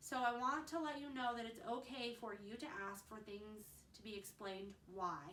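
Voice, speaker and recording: Moderately paced speech from a woman, echoing audibly off the room. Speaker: mom vlogger. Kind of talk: casual vlog advice. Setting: at home.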